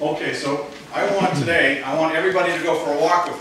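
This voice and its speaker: A man's voice under strong room echo, with noticeable background noise. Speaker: presenter. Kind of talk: lecture. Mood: light, humorous. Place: hall.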